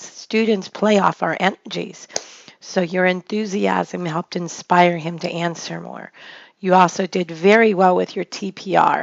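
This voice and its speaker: A woman's medium-pitched voice, fairly slow and flat in intonation, all on one note. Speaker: online English teacher. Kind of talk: spoken feedback to a teacher.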